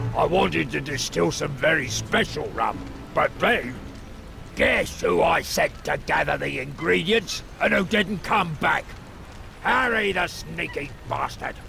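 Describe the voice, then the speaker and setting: A gruff put-on character voice speaks at a fairly slow pace over clear background noise. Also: man. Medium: video game. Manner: gruff, suspicious.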